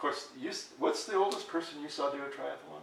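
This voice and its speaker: A man talks in a room with audible echo. Noticeable background noise sits behind his voice. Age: 60s. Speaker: health chat host. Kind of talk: interview. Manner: halting.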